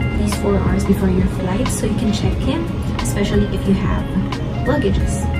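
Loud music plays in the background. Over it, a woman talks at a fairly quick pace. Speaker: travel vlogger. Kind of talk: tutorial. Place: home room.

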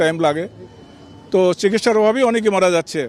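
This man talks with fairly even intonation. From Bangladesh, Bogura. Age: 70s. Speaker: released former border guard officer. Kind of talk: press statement to reporters.

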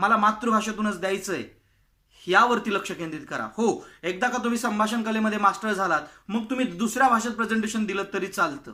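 In a raised, projected voice, a man speaks at a high pitch with a bright, sharp tone. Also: ordinary pitch variation. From Maharashtra, India. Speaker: public speaking coach. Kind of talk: tutorial.

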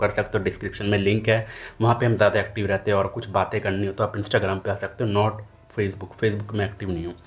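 A somewhat breathy man talks at a fairly quick pace. His intonation is monotone and flat. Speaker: hotel management career vlogger. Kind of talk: casual vlog chat. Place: home room. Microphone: phone near.

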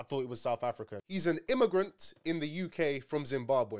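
Very wide pitch swings mark a man's speech at a fairly quick pace against a quiet background. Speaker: streamer commentator. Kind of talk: commentary. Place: home room. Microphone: studio mic.

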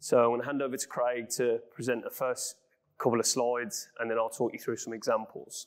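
A man speaks at a fairly quick pace with a Brummie accent. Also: quiet background. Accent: Brummie (Birmingham English). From West Midlands, England (Birmingham). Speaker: business director, energy consultancy. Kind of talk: business presentation. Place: studio. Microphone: lapel.

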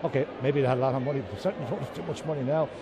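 Through noticeable background noise, a man speaks at a very fast pace. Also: dry sound with no echo. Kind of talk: interview answer. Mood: upbeat, proud. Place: shop. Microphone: handheld.

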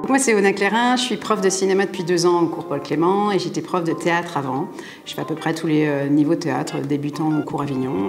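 With clear music in the background, a woman speaks fairly quickly in a very deep, low voice with lively intonation. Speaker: drama and film acting teacher; film acting teacher. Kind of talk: promotional interview. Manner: fast; hesitant with fillers. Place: studio.

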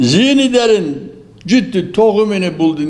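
Speaking at a fairly slow pace, a man delivers his words. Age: 80s+. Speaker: elderly tea farmer. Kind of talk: interview answer.

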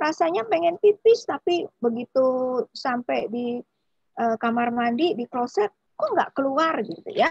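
Against a quiet background, a woman talks at a fairly slow pace and a high pitch, with very wide pitch swings and a dry sound with no echo. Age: 40s. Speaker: doctor. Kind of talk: health talk. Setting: video call. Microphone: video call.

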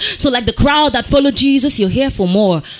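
A woman speaks very fast in a high voice, her intonation lively. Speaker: slam poet. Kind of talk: slam poetry performance. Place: stage. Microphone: handheld.

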